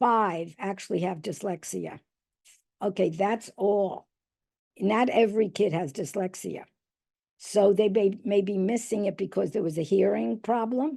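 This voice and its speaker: A woman speaks fairly slowly in a New York accent, her medium pitch showing ordinary variation. Her tone is dark and mellow, and the background is quiet. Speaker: reading specialist and educator. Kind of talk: presentation.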